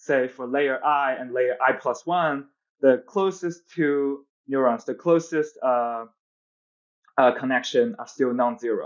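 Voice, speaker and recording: This speaker has a Chinese accent and ordinary pitch variation. The pace is fairly slow, over a quiet background. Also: man, fairly high pitch for a man. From China. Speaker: physics PhD researcher; podcast guest. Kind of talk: technical interview. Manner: hesitant, many fillers. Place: home room. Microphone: earbuds.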